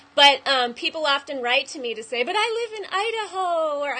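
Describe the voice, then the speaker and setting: A woman speaks in a raised, projected voice at a fairly quick pace. Her pitch swings very widely. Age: 30s. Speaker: web show host. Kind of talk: interview.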